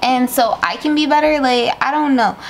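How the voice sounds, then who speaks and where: Moderate pace with light background noise. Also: woman. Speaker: vlogger. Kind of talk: casual vlog chat. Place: home room. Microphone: phone near.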